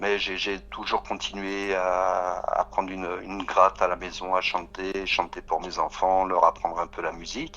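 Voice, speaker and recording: Over noticeable background noise, a man with a very deep, low pitch talks at a fairly slow pace in a monotone, flat intonation with hardly any pauses. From Paris region, France. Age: 60s. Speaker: singer-songwriter. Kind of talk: radio interview. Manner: halting, many hesitations.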